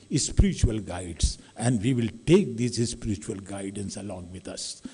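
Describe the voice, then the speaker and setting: A man speaks at a fairly slow pace with a somewhat breathy quality. His tone is dark and mellow, and his pitch sits fairly low. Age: 60s. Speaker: academic audience member giving remarks. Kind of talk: public address at a talk.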